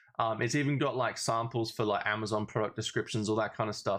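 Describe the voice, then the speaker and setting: Against a quiet background, the voice carries an upbeat tone and an Australian accent. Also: man. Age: 20s. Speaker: affiliate marketer. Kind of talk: casual tutorial talk to camera.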